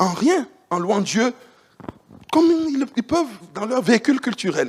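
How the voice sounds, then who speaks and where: A man speaks at an extremely high pitch, his pitch swinging very widely. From Central Africa. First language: Banana (Chadic language) (speaking French). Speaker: preacher. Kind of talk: sermon. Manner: animated.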